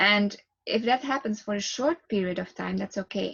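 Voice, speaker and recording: Her pitch is fairly high, with ordinary variation and a somewhat breathy quality. This woman keeps a moderate pace. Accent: Flemish Belgian. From Belgium. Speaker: relaxation therapist. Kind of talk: guided relaxation talk. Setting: video to camera.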